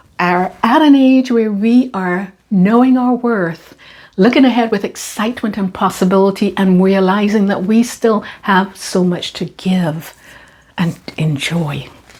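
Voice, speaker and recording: A woman talks at a fairly slow pace with a medium pitch and ordinary pitch variation, sounding somewhat breathy. The recording is very clean with a silent background. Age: 60s. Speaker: lifestyle vlogger. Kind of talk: monologue to camera. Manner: animated.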